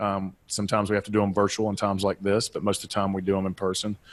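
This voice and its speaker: A man in a Southeastern US accent at a very fast pace, captured dry and close with no echo in a very clean recording with a silent background. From US Southeast. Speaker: business and life coach, author. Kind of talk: podcast interview.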